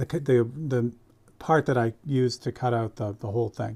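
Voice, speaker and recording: A man's medium-pitched voice, dark and mellow in tone, somewhat breathy. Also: very clean recording, silent background. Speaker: airbrush artist streaming live painting. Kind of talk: live painting tutorial. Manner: casual, conversational.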